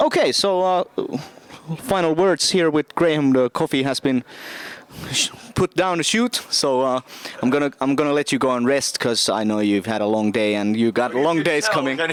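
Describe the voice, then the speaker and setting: Noticeable background noise sits behind a man speaking at a moderate pace and fairly high pitch. His intonation is lively, and the sound is dry and close with no echo. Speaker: podcast host. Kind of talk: casual interview chat.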